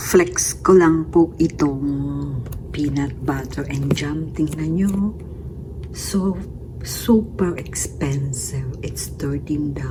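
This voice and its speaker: Very slow delivery over noticeable background noise. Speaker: caregiver vlogger. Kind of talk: casual vlog. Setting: walking outdoors.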